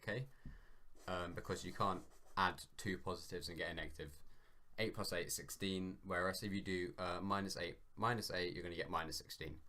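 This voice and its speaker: Speaking fairly quickly, a man with a British accent has a fairly low pitch. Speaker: maths tutorial maker. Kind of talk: tutorial. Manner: hesitant, many ums; loud.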